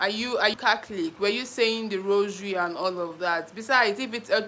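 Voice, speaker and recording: A woman with a Nigerian accent, medium pitch, ordinary pitch variation and a moderate pace. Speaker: YouTuber. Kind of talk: live stream chat. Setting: live stream.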